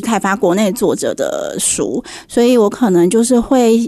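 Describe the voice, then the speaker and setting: Noticeable background noise sits behind a woman's voice. She speaks at a fairly high pitch with lively intonation. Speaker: book editor. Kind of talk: radio interview. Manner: direct, frank.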